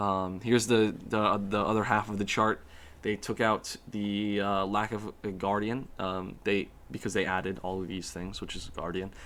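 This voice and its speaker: A man with a fairly low pitch speaks in a monotone, flat way. The recording is very clean with a silent background. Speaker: student. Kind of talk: class presentation. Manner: fast; halting, many fillers.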